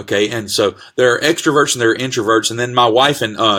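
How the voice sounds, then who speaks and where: Loud and fairly quick, a man talks at medium pitch with a bright, sharp tone. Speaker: pastor. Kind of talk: casual sermon-style live talk. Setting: Facebook live video. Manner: animated.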